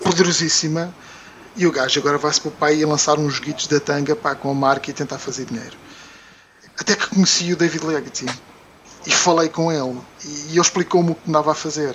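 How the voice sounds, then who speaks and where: Over noticeable background noise, a man with a fairly high voice talks very fast, broken by long, frequent pauses, his intonation fairly even. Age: 40s. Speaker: video game product development manager. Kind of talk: casual chat.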